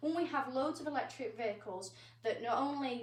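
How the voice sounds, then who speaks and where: A woman talks at a fairly quick pace, with noticeable background noise in the recording. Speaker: amateur presenter and interviewer. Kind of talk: interview question. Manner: hesitant, stumbling.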